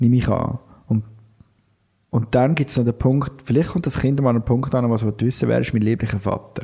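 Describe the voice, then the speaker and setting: A man talks at a fairly quick pace and medium pitch, with fairly even intonation. His loudness is very even, and he leaves long, frequent pauses. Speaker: podcast co-host. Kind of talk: casual chat.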